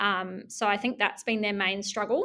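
A woman with a New Zealand accent speaks at a fairly high pitch on a very clean recording with a silent background. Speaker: business community manager. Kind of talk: interview.

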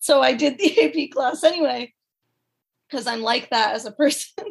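This woman speaks at a high pitch with lively intonation. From Massachusetts, US. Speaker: PhD candidate in rhetoric. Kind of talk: interview.

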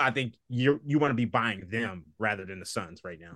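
The speaker talks at a very fast pace with lively intonation against a quiet background. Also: man. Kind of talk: casual sports-betting chat. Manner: easygoing, conversational.

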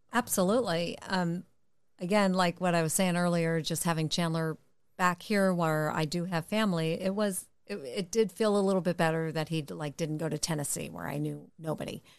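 A woman with an American accent talks in an ordinary speaking voice at a fairly low pitch and a moderate pace, her intonation fairly even over a quiet background. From Connecticut. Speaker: mother of co-host. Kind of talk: casual chat.

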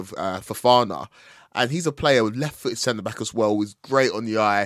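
Against a silent background in a very clean recording, a man with an unremarkable speaking voice speaks at a medium pitch and a fairly quick pace. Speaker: football pundit. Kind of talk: casual football chat.

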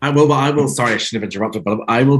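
A man with a Northern Irish accent speaks with lively intonation. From Northern Ireland. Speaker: author. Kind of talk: casual interview chat.

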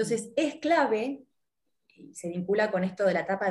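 Speaking at a fairly quick pace with an Argentine accent, a woman uses lively intonation at a medium pitch, her voice somewhat breathy. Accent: Argentine Spanish (Rioplatense). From Argentina. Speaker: life coach. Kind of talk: interview.

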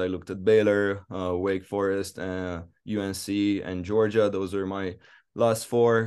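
Against a quiet background, a man with a Romanian accent speaks at a fairly slow pace and a fairly low pitch, in a monotone with flat intonation. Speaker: college tennis player. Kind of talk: interview. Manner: hesitant, many fillers.

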